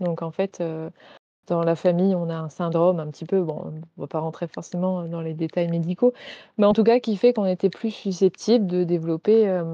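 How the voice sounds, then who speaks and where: The woman has an ordinary speaking voice, with a fairly low pitch, fairly even intonation and a moderate pace. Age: 20s. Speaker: naturopath and reflexologist. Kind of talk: interview about grief and wellness.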